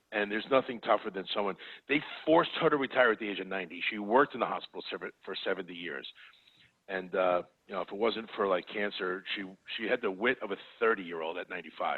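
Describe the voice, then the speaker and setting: Very fast and fairly low-pitched, a man talks with a New York accent and ordinary pitch variation. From New York City (the Bronx). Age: 50s. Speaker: wealth manager. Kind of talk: podcast interview. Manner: halting.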